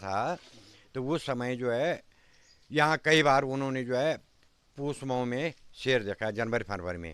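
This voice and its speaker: A man with a normal speaking voice at medium pitch is heard on a very clean recording with a silent background. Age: 60s. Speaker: village elder. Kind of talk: interview.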